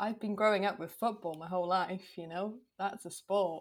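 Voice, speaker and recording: This is a woman speaking. She has a Welsh accent. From Wales. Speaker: podcast guest judge. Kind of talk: casual chat.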